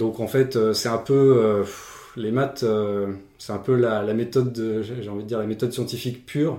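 A man with a medium-pitched voice has a dark, mellow tone. He talks at a moderate pace with fairly even intonation. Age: 30s. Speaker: applied mathematics PhD. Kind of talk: casual chat.

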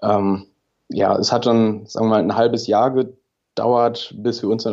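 Over a quiet background, a man at medium pitch talks with monotone, flat intonation. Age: 30s. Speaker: engineer, podcast listener. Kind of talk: interview.

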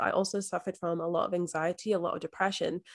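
Against a quiet background, a woman talks very fast with monotone, flat intonation. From Scotland. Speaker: manifestation and mindset coach. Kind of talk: podcast interview. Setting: remote recording.

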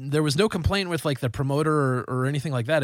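A man's fairly high voice at a very fast pace, fairly even in intonation, in a very clean recording with a silent background. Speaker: metal band member and podcast host. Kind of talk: casual banter. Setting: studio.

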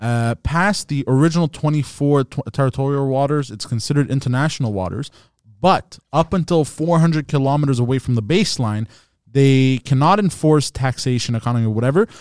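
This man has a normal speaking voice, pitched fairly high for a man, with ordinary pitch variation. He talks at a fairly quick pace in a dry, close sound with no echo. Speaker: comedian. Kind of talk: casual chat.

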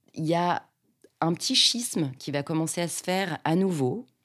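This woman talks fairly slowly, her pitch fairly low. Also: long, frequent pauses. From Paris western suburbs, France. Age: 40s. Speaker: actress and stage director. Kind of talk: personal testimony. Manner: hesitant, with fillers.

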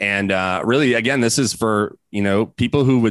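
With an unremarkable speaking voice, a man talks fairly quickly with ordinary pitch variation. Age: 30s. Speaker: entrepreneur and event organizer. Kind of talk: casual interview.

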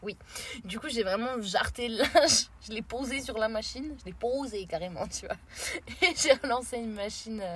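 With an animated tone and lively intonation, a woman speaks at a moderate pace and fairly high pitch, her loudness swinging widely. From France. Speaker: traveller on a road trip. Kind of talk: casual chat.

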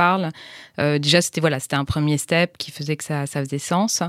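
Recorded very cleanly against a silent background, a woman speaks in a very deep, low pitch with ordinary pitch variation. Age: 40s. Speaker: entrepreneur, founder of a women's intimate health platform. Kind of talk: interview. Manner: halting.

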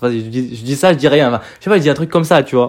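The pitch rises and falls in an ordinary way. The speaker is a man. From Morocco. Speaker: podcaster. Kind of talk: casual monologue. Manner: hesitant, filler-heavy.

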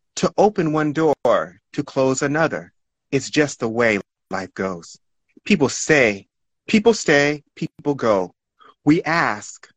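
A man with a fairly high pitch speaks at a very slow pace, leaving long, frequent pauses. His pitch swings very widely, and the sound is dry and close with no echo. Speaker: poet. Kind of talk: casual chat.

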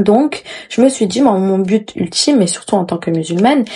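Fairly quick and at a medium pitch, a woman speaks in a dark, mellow tone with ordinary pitch variation. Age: 20s. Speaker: podcast host. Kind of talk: casual solo podcast monologue.

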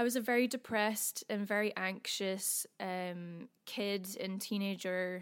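In a Scottish accent, a woman speaks at a medium pitch with fairly even intonation. The recording is very clean, with a silent background. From Scotland. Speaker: singer-songwriter. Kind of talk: casual interview chat.

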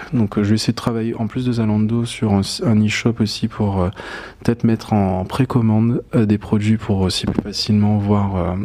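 Speaking at a moderate pace, a man with a fairly low voice holds fairly even intonation as noticeable background noise continues. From Guadeloupe. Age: young. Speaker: fashion designer. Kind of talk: interview. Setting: live stream. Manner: hesitant, many fillers.

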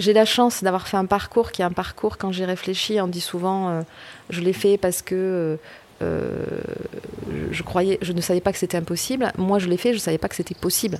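Noticeable background noise sits behind a woman at a medium pitch. She speaks at a moderate pace with fairly even intonation. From rural France. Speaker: political scientist. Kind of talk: interview. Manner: hesitant, repeats words.

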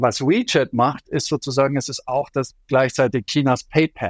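Here a man talks at a medium pitch. The sound is dry and close with no echo, on a very clean recording with a silent background. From Germany, Allgäu (Bavarian Swabia). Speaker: journalist and China expert. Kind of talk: interview. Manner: hesitant with frequent fillers.

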